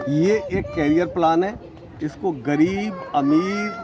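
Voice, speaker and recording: Against noticeable background noise, a man speaks in a high voice. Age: 60s. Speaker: network marketing distributor. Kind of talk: interview. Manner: animated.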